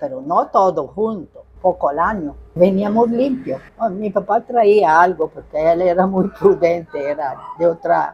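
A woman's lively intonation at a fairly slow pace, over noticeable background noise. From Northern Italy (Bergamo). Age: 80s+. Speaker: pizzeria owner, Italian immigrant pioneer. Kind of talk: interview answer.

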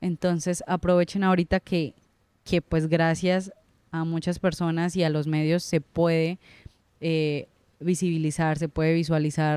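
A woman speaks at a moderate pace in a fairly low pitch, her flat, monotone delivery captured dry with no echo. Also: quiet background. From Colombia, Santander (Girón); Santander, Colombia. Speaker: writer; interviewee. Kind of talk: interview. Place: studio. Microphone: handheld.

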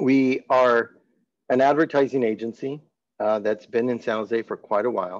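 At a moderate pace, a man talks with a medium pitch and fairly even intonation. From California (Salinas); California. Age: 50s. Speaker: marketing agency director and advertising professor; advertising professor. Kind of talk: webinar presentation. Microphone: webcam.

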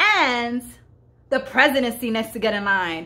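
A bright, sharp, animated voice with an American accent at a moderate pace. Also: woman. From Bronx, New York. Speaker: comedian show host. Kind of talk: comedic angry rant to camera. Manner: animated, indignant, sarcastic. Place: home room. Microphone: phone near.

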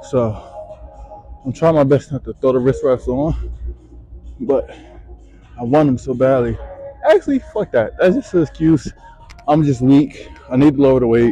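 The speech goes at a moderate pace with long, frequent pauses. The sound is dry with no echo, and faint music plays in the background. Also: man. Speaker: gym vlogger. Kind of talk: casual vlog chat. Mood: self-critical, motivated. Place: gym.

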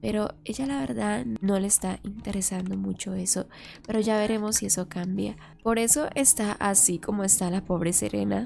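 On a very clean recording with a silent background, a woman speaks at a moderate pace with vocal fry. Her intonation is fairly even and her tone slightly mellow. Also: medium pitch for a woman.

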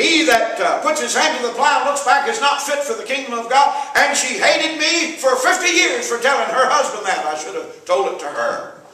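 A man speaks in an extremely high pitch with very wide swings, his voice raised and projected. The pace is moderate, and room echo is clearly audible. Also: hardly any pauses. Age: 70s. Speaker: evangelist preacher. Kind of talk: sermon. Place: church. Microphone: camera far.

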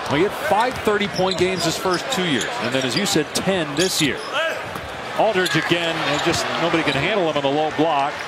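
Loud background noise fills the clip. The speaker talks at a moderate pace. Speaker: play-by-play basketball commentator. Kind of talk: live sports commentary. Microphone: headset.

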